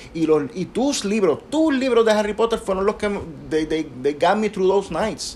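With a Puerto Rican accent, a man speaks at a fairly slow pace. His pitch is high for a man and his intonation is lively. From Puerto Rico. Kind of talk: casual chat.

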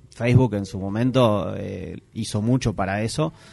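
The speaker has a Uruguayan accent and a fairly slow pace. The pitch varies in an ordinary way. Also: man. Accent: Uruguayan Rioplatense Spanish. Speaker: podcast host. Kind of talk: casual chat. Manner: halting.

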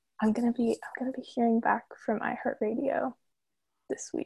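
With an American accent, a woman speaks at a high pitch and a fairly quick pace, with ordinary pitch variation, a dark, mellow tone and long, frequent pauses, in a dry, close sound with no echo. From Central Florida. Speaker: zine writer. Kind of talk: casual chat. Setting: video call from her bedroom.

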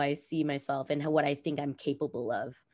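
In a Californian accent, a woman talks at a moderate pace. Her pitch is very deep and low, against a quiet background. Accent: Californian American. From Los Angeles, California. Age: 30s. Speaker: roller skater and influencer. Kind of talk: casual interview. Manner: animated.

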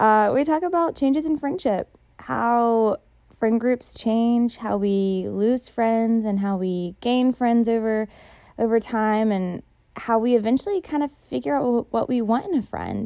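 Fairly high in pitch, a woman's voice has a dark, mellow tone. She speaks fairly slowly in a very clean recording with a silent background. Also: lively intonation. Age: 20s. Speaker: podcast host. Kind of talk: casual chat.

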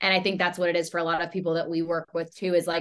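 A woman with an American accent and fairly low pitch, at a very fast pace. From US South, Charlotte, North Carolina. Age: 20s. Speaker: fitness and nutrition coach. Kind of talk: casual interview chat.

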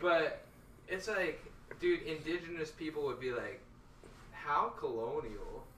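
Pausing long and often, a man speaks at a fairly slow pace against noticeable background noise. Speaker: guest. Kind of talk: casual chat. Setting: live stream.

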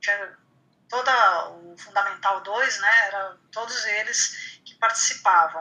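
A woman speaks very slowly at a fairly high pitch, with ordinary pitch variation and big swings in loudness. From Brazil, Santos (São Paulo coast). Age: 50s. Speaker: writer. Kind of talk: casual interview.

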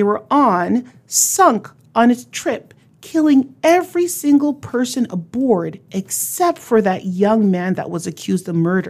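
A woman's fairly high, animated voice at a fairly slow pace, with very wide pitch swings. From not from Newfoundland. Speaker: radio host. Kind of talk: radio show. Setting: studio.

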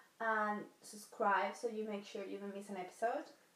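Against noticeable background noise, a woman with a fairly high voice talks at a moderate pace with fairly even intonation. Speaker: podcast co-host. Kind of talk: casual podcast chat.

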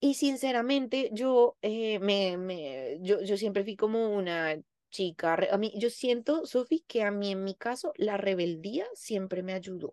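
Dry and close with no echo, a woman's medium-pitched voice moves at a fairly slow pace. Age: 30s. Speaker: psychologist. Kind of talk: casual chat. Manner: animated.

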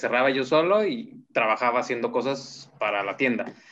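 A man with a normal speaking voice, medium pitch, lively intonation and a moderate pace. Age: 30s. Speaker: fashion designer. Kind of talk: interview.

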